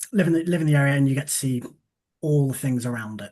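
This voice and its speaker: A fairly high, somewhat breathy male voice. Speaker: election candidate. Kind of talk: hustings answer.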